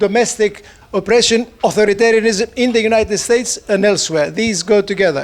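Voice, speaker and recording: Over noticeable background noise, a man with a Greek accent talks at a fairly quick pace in a high pitch. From Greece. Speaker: economist. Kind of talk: conference talk. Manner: speeds up when excited.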